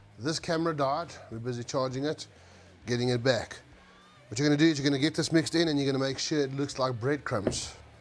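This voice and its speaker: A man's fairly quick speech with ordinary pitch variation, music in the background. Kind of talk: casual cooking talk to camera. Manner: casual, profane.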